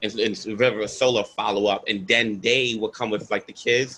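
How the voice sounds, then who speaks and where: A man with a New York accent speaks in a bright, sharp tone with fairly even intonation. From Brooklyn, New York. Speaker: environmental activist. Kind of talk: panel Q&A.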